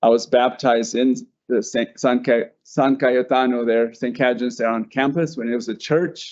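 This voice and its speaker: In an American accent, a man with a plain, everyday voice speaks at medium pitch and a moderate pace, his intonation fairly even. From Denver, Colorado. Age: 60s. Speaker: artist. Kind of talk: panel presentation.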